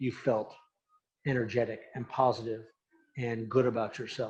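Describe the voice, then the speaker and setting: The pace is moderate and the intonation flat and monotone. The voice is somewhat breathy. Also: man. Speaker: animation studio founder and Navy veteran. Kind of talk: talk answering audience question. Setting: presentation with audience. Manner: halting with repetitions.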